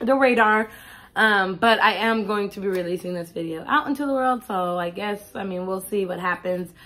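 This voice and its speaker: Music plays in the background as a woman speaks at a medium pitch. Her pace is moderate and her pitch variation ordinary. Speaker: vlogger. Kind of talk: casual video diary. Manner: halting.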